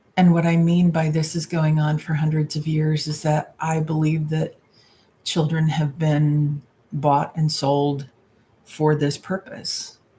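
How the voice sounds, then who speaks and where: Her pitch is very deep and low, and her voice is somewhat breathy. The woman speaks very slowly with monotone, flat intonation. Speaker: tarot reader. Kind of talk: live stream Q&A. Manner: halting.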